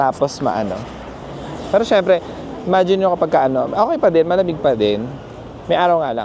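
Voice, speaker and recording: Over noticeable background noise, a man speaks in a high pitch at a fairly quick pace, with very wide pitch swings and long, frequent pauses. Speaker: travel vlogger. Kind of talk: casual vlog narration. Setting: outdoors and in a mall, walking. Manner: soft-spoken inside the mall.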